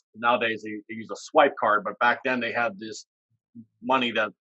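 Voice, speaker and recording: A man with an American accent talks at a very fast pace. His pitch is medium and his tone bright and sharp. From US small town. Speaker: education superintendent. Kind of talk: interview. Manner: hesitant, many fillers.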